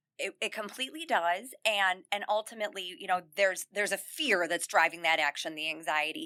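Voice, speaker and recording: Loud and quick, this woman speaks at a medium pitch with a bright, sharp tone, lively intonation and hardly any pauses, in a dry, close sound with no echo. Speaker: self-confidence coach for teen girls. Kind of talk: podcast interview. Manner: loud and smiley by her own account.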